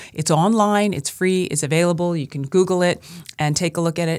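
Speaking in an American accent, a woman with an unremarkable speaking voice talks at a fairly quick pace at a fairly low pitch, with ordinary pitch variation. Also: very clean recording, silent background. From US Northeast, Brooklyn, New York. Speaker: film professor. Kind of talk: interview.

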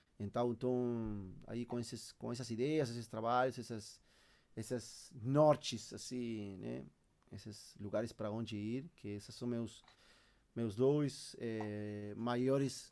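Very slowly and with fairly even intonation, a man of medium pitch speaks in a dark, mellow tone with a Uruguayan accent. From Uruguay, Montevideo. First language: Spanish (speaking Portuguese). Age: 30s. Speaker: percussionist. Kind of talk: interview. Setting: home studio. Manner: halting.

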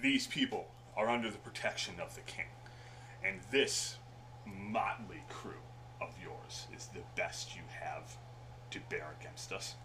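Over loud background noise, a man in a put-on character voice speaks at a fairly slow pace with long, frequent pauses. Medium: actual play. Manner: calm, defiant, dry.

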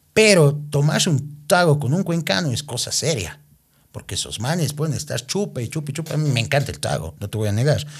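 A man speaks at a fairly high pitch, somewhat breathy. His tone is animated and his intonation lively. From Ecuador, Cuenca. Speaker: reality show winner and TV personality. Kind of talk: casual interview.

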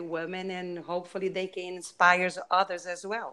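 Medium pitch, moderate pace and a bright, sharp tone from a woman with a Brazilian accent. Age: 50s. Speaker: author. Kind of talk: interview. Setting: video call.

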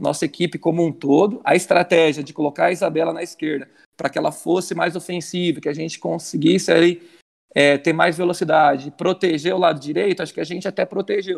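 At a fairly quick pace, a man speaks in a high pitch with fairly even intonation. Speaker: football coach. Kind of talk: interview. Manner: intense.

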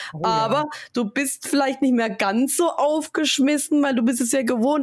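Her high-pitched voice keeps very even loudness as the woman speaks at a moderate pace. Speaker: podcast co-host and streamer. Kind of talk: casual chat.

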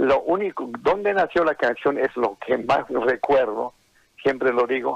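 Speaking very slowly, a man uses lively intonation at medium pitch, with a dry, close sound and no echo. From Bolivian highlands, Oruro. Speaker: songwriter. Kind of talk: interview.

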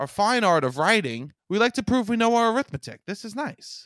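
Recorded very cleanly against a silent background, with a dry, close sound and no echo, a man speaks high-pitched at a moderate pace, his pitch swinging very widely. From Staten Island, New York. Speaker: comedian. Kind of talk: casual chat, reading aloud from old books.

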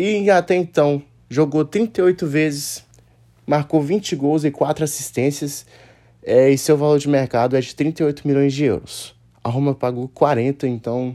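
Delivered at a very slow pace, the voice has a dark, mellow tone and ordinary pitch variation. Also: man, fairly high pitch for a man. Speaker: football podcaster. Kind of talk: solo podcast commentary. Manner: casual.

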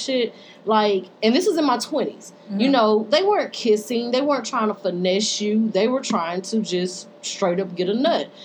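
With noticeable background noise, a woman talks at a moderate pace, her pitch fairly high and her pitch variation ordinary. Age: 30s. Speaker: podcast and radio co-host. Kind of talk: casual chat. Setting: radio studio.

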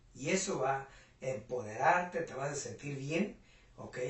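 Audible room echo surrounds a man speaking at a fairly high pitch with ordinary pitch variation. He keeps a fairly slow pace. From Mexico, rural Puebla. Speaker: entrepreneur and business mentor. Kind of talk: interview.

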